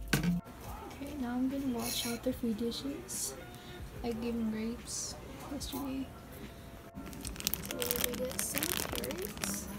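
Over loud background music, a woman speaks at a very slow pace, leaving long, frequent pauses. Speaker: pet owner. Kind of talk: casual talk to camera, pet care vlog. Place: home room. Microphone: phone near.

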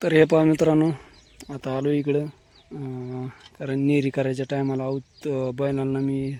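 At a fairly slow pace, a man talks in a medium pitch with a dark, mellow tone.

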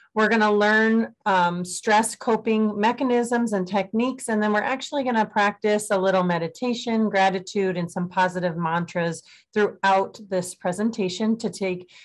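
Over music in the background, a woman speaks with fairly even intonation and hardly any pauses. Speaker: presenter. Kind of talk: webinar presentation. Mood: calm, friendly. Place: home room. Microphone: webcam.

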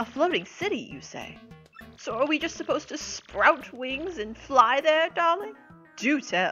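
A female-sounding voice in a put-on character voice speaks at a high pitch and moderate pace, with faint music in the background. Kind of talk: theatrical stage diva. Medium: machinima. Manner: grand, flirtatious, affected.

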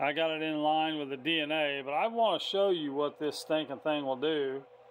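Light background noise is present. A man talks at a moderate pace. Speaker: CB radio hobbyist. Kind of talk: casual show-and-tell report to a radio tech. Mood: excited, amazed. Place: home room. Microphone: phone near.

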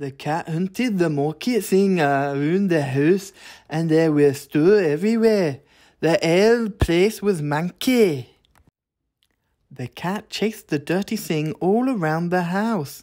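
Speaking with a Scottish accent at a fairly slow pace, a man uses a high pitch, lively intonation and a dark, mellow tone on a very clean recording with a silent background. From Scotland. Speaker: English teacher. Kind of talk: storybook reading.

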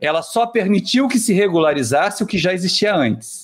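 Talking at a fairly slow pace, a man with a high pitch makes very wide pitch swings. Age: 50s. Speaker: spiritist lecturer and university professor; spiritist lecturer, university professor. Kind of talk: talk show lecture. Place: home room. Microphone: webcam.

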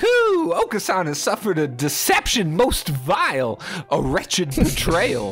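Faint music plays in the background as a man with a high voice talks at a moderate pace. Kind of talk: comic overacting. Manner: melodramatic, grandiose, cooing.

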